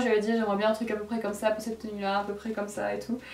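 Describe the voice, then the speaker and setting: Over music in the background, a woman with a fairly high pitch speaks amid audible room echo. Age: 20s. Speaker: YouTuber reacting to her old videos. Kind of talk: casual reaction commentary. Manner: animated.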